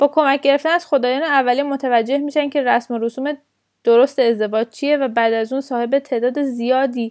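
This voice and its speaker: A woman with a high pitch, a fairly quick pace and fairly even intonation. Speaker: podcast host. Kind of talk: educational storytelling podcast.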